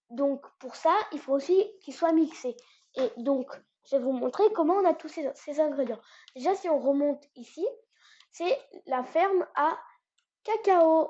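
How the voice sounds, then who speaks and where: A woman speaks at an extremely high pitch with lively intonation. Her delivery is very slow, with long, frequent pauses. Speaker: gaming YouTuber. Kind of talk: gameplay tutorial. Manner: hesitant, many fillers.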